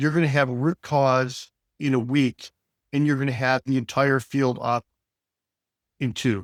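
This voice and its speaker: A man with an American accent speaks at a fairly slow pace and medium pitch, with fairly even intonation. The sound is dry and close with no echo, on a very clean recording with a silent background. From US Midwest, Detroit. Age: 60s. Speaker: business executive. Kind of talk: interview conversation. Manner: many fillers and repetitions.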